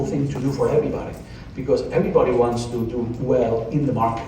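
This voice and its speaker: Over noticeable background noise and audible room echo, a man with a medium pitch talks at a very fast pace. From Spain. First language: Spanish. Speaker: pharmaceutical investor speaker. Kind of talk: conference speech. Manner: animated.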